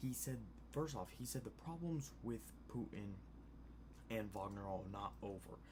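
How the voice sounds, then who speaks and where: Quiet and fairly low-pitched, a man speaks with very wide pitch swings and long, frequent pauses, with audible room echo around him. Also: moderate pace, very even loudness. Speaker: news commentary youtuber. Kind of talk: casual news commentary. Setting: home at night. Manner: quiet, low volume; hesitant, many fillers.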